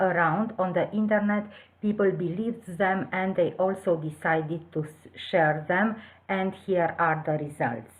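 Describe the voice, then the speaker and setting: With a Romanian accent, a woman speaks at medium pitch and a fairly slow pace. Her ordinary pitch variation carries audible room echo. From southwest Romania. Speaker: teacher. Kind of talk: conference presentation. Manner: hesitant, with filler sounds.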